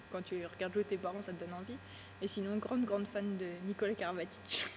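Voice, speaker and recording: A normal speaking voice at a fairly quick pace with fairly even intonation. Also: woman. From France, Yonne (Auxerre). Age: 20s. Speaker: handball player. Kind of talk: interview.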